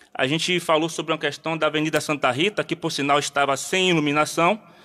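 A man's bright, sharp voice at a fairly quick pace, with fairly even intonation. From Bahia, Brazil. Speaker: community activist; interview guest. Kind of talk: radio interview. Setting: studio. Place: studio. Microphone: studio mic.

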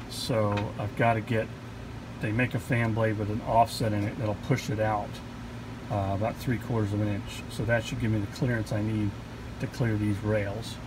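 Long, frequent pauses break up a moderate pace, with noticeable background noise throughout. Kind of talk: tutorial. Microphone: phone near.

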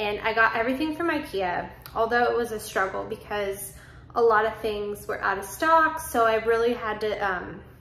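Audible room echo hangs around a woman who talks at a moderate pace with ordinary pitch variation. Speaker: home vlogger. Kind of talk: casual vlog chat. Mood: excited, upbeat. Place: home room. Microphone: phone near.

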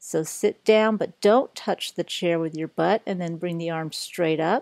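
Over a quiet background, a woman speaks at a fairly slow pace with ordinary pitch variation, the sound dry with no echo. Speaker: yoga instructor. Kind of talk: exercise class instruction. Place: gym.

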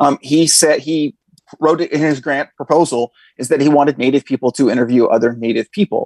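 With an American accent and ordinary pitch variation, the voice moves at a fairly quick pace, in a dry sound with no echo and a quiet background. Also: man, fairly high pitch for a man. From northern California. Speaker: history professor. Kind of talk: interview. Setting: video call. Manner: halting, many fillers. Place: home room. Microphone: earbuds.

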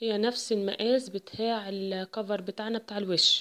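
With an Egyptian accent, a woman speaks at a medium pitch in a monotone, flat intonation. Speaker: embroidery and sewing tutor. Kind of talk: tutorial.

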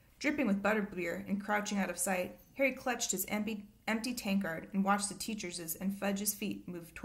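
Someone reads aloud. The voice stays natural throughout.

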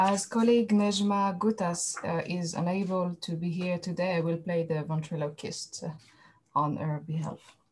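Over light background noise, a woman talks at a moderate pace with fairly low pitch and fairly even intonation. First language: French. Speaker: archaeologist. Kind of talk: academic presentation. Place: home room. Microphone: webcam.

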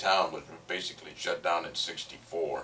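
Light background noise runs under this clip. A man with an American accent speaks at a fairly slow pace. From Northern California. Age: 60s. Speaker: former resident of a demolished town. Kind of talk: interview reminiscence. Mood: nostalgic, relaxed. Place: home room.

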